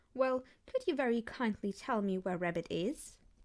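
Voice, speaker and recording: A woman performs a put-on character voice at a fairly high pitch. The recording is very clean, with a silent background. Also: moderate pace. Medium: read story. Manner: slow, simple, gentle.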